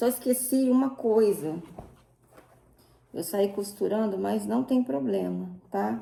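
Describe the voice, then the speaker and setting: A woman speaks very slowly, leaving long, frequent pauses. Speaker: sewing crafts youtuber. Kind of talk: tutorial. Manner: casual, chatty; speaking quietly.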